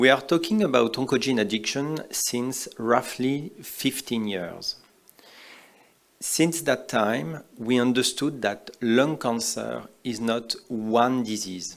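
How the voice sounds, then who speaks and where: Speaking very slowly with a French accent, a man uses a medium pitch and ordinary pitch variation. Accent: typical French. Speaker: oncologist. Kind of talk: conference talk. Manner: simple, hesitant English.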